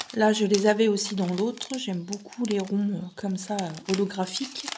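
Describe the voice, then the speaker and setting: Over noticeable background noise, a woman speaks very slowly with fairly even intonation. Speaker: craft unboxing youtuber. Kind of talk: unboxing video monologue.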